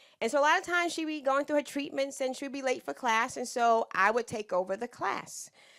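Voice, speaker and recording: A woman talks loudly at a fairly quick pace, animated in tone with lively intonation, on a very clean recording with a silent background. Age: 60s. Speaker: business owner and consultant. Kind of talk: lecture.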